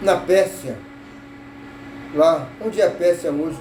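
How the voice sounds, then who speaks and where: Amid noticeable background noise, a man speaks at a high pitch. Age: 80s+. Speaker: social media commentator. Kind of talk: informal talk to camera. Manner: halting.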